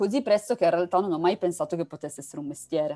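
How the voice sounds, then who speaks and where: The woman's voice has a dark, mellow tone. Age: young. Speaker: novelist. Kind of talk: interview. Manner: halting.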